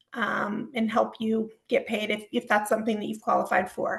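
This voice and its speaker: A woman's fairly high voice with vocal fry. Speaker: home care agency community relations director. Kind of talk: webinar presentation. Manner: many filler ums.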